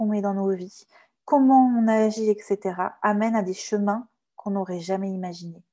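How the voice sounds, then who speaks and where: Over a quiet background, a woman with a dark, mellow tone and medium pitch speaks at a fairly slow pace. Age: 30s. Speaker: communication consultant and trainer. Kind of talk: testimony.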